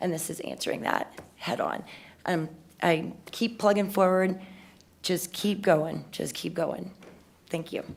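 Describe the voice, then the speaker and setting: A woman talks fairly slowly with long, frequent pauses, using a fairly low pitch, fairly even intonation and vocal fry. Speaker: city council member. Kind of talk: public meeting remarks.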